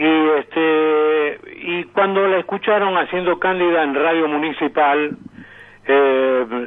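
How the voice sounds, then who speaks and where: A man with a plain, everyday voice speaks at a fairly high pitch and a fairly slow pace, with ordinary pitch variation. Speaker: radio announcer and sound archive collector. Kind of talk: radio interview answer.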